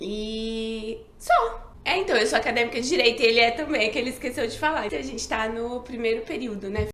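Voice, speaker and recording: Amid noticeable background noise and audible room echo, a woman speaks at a moderate pace with a fairly high pitch and ordinary pitch variation. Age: 30s. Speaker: psychiatrist and channel co-host. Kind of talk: casual chat.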